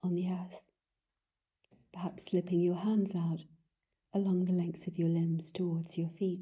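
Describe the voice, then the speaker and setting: With a British accent, the speaker is somewhat breathy and talks fairly slowly in a flat monotone, leaving long, frequent pauses. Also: woman. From United Kingdom. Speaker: yoga instructor. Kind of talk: guided yin yoga class instruction. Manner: calm, gentle.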